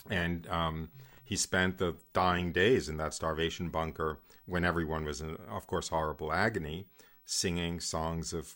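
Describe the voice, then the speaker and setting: On a very clean recording with a silent background, a man speaks at a very deep, low pitch in a bright, sharp tone with fairly even intonation. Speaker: radio host. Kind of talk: radio talk show with religious teaching.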